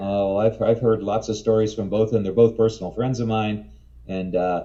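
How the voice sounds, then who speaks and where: The tone is dark and mellow, the intonation monotone and flat, and the pace moderate. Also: man, fairly low pitch for a man. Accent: American. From New Jersey. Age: 60s. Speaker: herpetologist and author. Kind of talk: interview. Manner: halting.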